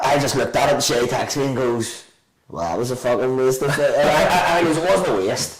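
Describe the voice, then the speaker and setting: Speaking very fast, a man has a Belfast accent. His pitch is medium, with ordinary pitch variation. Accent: Belfast Northern Irish. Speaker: restaurant owner. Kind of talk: casual chat. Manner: animated.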